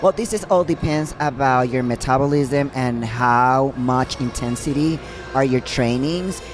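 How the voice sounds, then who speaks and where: Music plays in the background as a woman with a Puerto Rican accent speaks. Her pitch is very deep and low, and her pace is fairly slow. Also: ordinary pitch variation. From Puerto Rico. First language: Spanish. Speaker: professional bodybuilder. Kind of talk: casual chat. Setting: live at a gym opening event.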